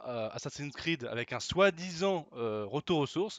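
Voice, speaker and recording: A man's fairly high voice at a very slow pace, with lively intonation. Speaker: gaming youtuber. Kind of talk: gameplay commentary. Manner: hesitant, many fillers.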